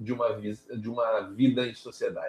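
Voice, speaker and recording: A man speaks in a somewhat breathy voice. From southern Brazil, Porto Alegre. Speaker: RPG game designer. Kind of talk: casual chat.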